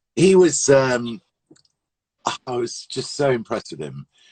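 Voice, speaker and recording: A man speaks with vocal fry at a moderate pace and a medium pitch. The sound is dry and close, with no echo. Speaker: radio DJ. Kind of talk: interview answer, anecdotes.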